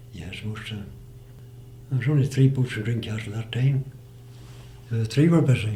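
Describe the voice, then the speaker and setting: A Northern Irish accent from a man at medium pitch and moderate pace, with ordinary pitch variation, big swings in loudness and long, frequent pauses. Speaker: retired fisherman. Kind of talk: oral history interview answer.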